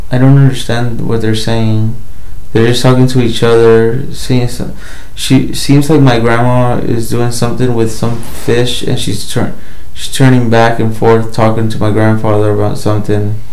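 Against audible room echo, a man speaks in a flat monotone. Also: moderate pace. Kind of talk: slow trance description answering a guide. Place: home room. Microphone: phone near.

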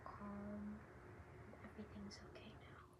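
A woman talks while loud noise fills the background. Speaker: ASMR creator. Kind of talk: ASMR sleep affirmations. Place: home room. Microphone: phone near.

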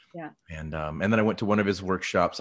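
With an American accent, a man speaks at a fairly quick pace in a very deep, low pitch against a quiet background. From Texas. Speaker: conductor and interviewer. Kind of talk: casual chat. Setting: video call. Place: home room.

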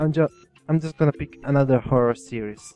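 With music in the background, the voice shows ordinary pitch variation in a dry, close sound with no echo. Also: man. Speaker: gaming YouTuber. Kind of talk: casual talk to camera. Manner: hesitant, many fillers.

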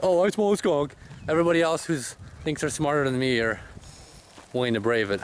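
A man talks at a fairly quick pace with lively intonation. The sound is dry with no echo, though there is noticeable background noise. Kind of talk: casual vlog narration. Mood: tense, uneasy. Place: open country. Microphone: phone near.

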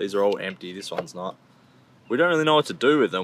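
With lively intonation, a man's voice comes through dry and echo-free over light background noise. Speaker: van dweller vlogger. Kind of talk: casual vlog chat. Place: car. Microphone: phone near.

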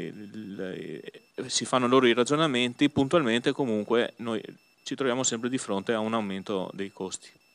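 Fairly even intonation from a man. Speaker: opposition group leader councillor. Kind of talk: council debate. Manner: halting, repetitive. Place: hall. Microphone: new microphone.

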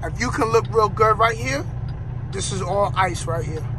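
A man speaks at a fairly slow pace. Noticeable background noise runs beneath him. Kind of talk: casual vlog chat. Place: car. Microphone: phone near.

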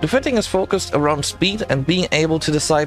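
Over music in the background, a man talks at a moderate pace with a fairly high pitch and lively intonation. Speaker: gaming video creator. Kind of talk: game tutorial narration.

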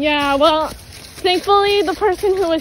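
A woman speaks with ordinary pitch variation. The sound is dry with no echo, and there is light background noise. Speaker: vlogger filming. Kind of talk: casual vlog chat. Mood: nervous, excited. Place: forest. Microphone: phone near.

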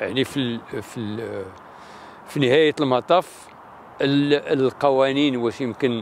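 A very slow delivery with long, frequent pauses, fairly even intonation, a dry sound with no echo, and light background noise. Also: man, medium pitch for a man. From Morocco, Marrakesh region (Amazigh); Morocco. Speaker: politician, senator. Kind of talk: interview. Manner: halting. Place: street.

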